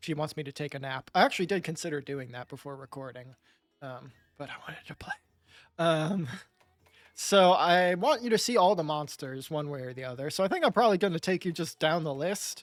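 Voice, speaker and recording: A man talks fairly quickly in a fairly high voice, with ordinary pitch variation and big swings in loudness. The sound is dry and close with no echo, and music plays in the background. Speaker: gaming video creator. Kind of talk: casual gameplay commentary.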